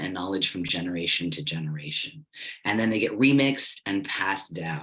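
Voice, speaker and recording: An ordinary speaking voice moves at a moderate pace with lively intonation. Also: man. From United States. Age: 40s. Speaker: public radio journalist and youth mentor. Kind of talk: workshop presentation. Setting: virtual workshop.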